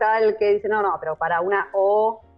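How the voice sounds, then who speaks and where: With music in the background, a woman speaks at a moderate pace in a Rioplatense accent. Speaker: audiovisual translator. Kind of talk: interview answer.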